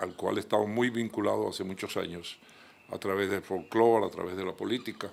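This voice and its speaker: Using fairly even intonation and vocal fry, a man speaks at a moderate pace and fairly low pitch. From Colombia, Caribbean coast (Magdalena, raised in Cartagena). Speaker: journalist and lawyer. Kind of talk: TV interview. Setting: his office.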